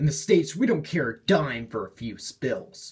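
A man puts on a drawling character voice with a fairly high pitch, moving at a moderate pace. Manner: drawling, cocky.

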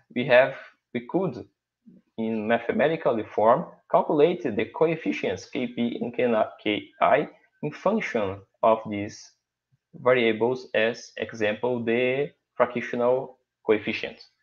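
A man with a Portuguese accent talks at a very slow pace with long, frequent pauses, his medium pitch showing ordinary variation. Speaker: professor. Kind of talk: conference presentation.

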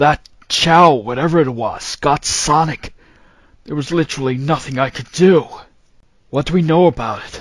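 A put-on character voice from a man with a fairly high pitch, at a moderate pace with long, frequent pauses. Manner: terse, gruff.

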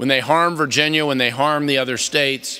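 There is a quiet background as a man gets his words out at a fairly quick pace. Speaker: keynote speaker, politician. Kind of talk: political speech. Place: hall. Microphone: podium.

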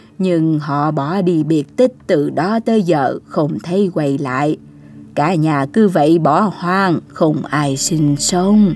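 Putting on a cartoonish character voice, a woman speaks slowly at low pitch with ordinary pitch variation, a slightly husky edge and a slightly mellow tone.

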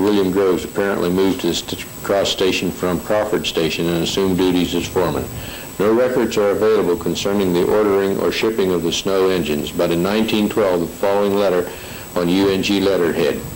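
A man with an American accent speaks in a fairly low voice with fairly even intonation and very even loudness. Background noise is noticeable. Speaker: station foreman giving local history. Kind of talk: historical narration reading from notes.

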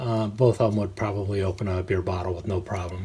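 The man has a plain, everyday voice, pitched fairly low, with fairly even intonation. Light background noise can be heard. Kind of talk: tutorial. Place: home room. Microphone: phone near.

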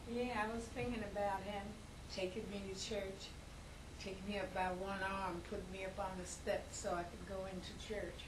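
A woman speaks in a monotone, flat intonation with noticeable background noise. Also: moderate pace. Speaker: interviewee. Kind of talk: interview answer. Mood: reflective, reminiscing. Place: home room. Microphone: camera far.

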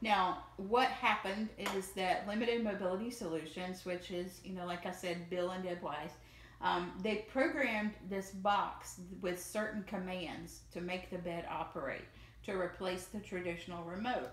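A woman talks in a Southern US accent with audible room echo. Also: ordinary pitch variation, moderate pace. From US South. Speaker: video creator. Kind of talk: demo video. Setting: home, recorded video. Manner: casual, friendly. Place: home room. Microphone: camera far.

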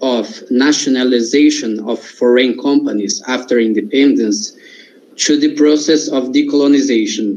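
A man talks fairly slowly in a fairly high register, his pitch varying in an ordinary way. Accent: Portuguese. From Brazil. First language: Portuguese. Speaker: audience member. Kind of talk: Q&A question. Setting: video call. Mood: polite, thoughtful. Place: home room. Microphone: video call.

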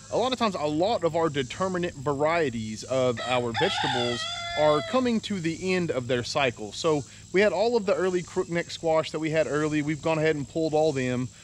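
A man's voice with very wide pitch swings over light background noise. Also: dry sound with no echo. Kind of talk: casual vlog chat. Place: garden. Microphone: phone near.

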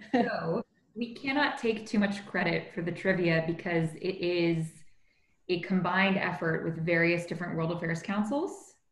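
A woman with a Canadian accent talks at a moderate pace in a fairly low voice with ordinary pitch variation, and audible room echo surrounds her. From Canada, Toronto. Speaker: corporate lawyer, young professionals group leader. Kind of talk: interview conversation. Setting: video call. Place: home room. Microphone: video call.

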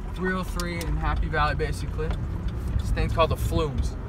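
The speech comes at a fairly quick pace with a dry sound with no echo and noticeable background noise. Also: man. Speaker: vlogger driving. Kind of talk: casual vlog chat. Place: car.

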